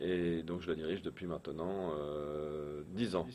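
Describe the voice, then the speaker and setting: A man speaks with fairly even intonation. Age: 40s. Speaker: business owner. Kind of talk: interview.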